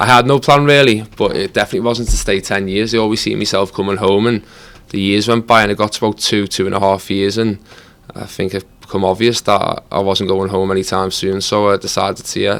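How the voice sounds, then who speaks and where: In a Liverpool accent, a man with a fairly low pitch talks at a fairly quick pace with fairly even intonation. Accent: Scouse. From Liverpool, England. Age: 30s. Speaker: footballer. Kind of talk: podcast interview.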